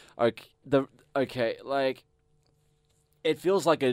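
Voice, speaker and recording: This man speaks at a moderate pace in an Australian accent, his pitch swinging very widely, and the sound is dry and close with no echo. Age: 20s. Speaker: metal bassist. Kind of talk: casual chat. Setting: studio.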